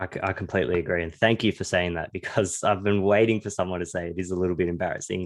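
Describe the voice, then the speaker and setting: In an Australian accent, a man with a very deep, low pitch speaks very fast with fairly even intonation against a quiet background. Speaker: podcast host. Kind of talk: podcast interview.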